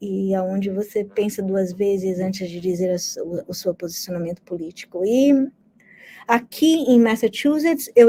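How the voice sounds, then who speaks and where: A woman's dark, mellow tone with lively intonation, at a fairly slow pace. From Brazil. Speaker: history professor. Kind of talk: interview. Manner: conversational.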